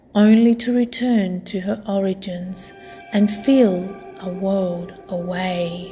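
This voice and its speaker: Very slow female speech at medium pitch, fairly even in intonation, with music in the background. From Australia. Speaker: artist. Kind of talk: poetry reading.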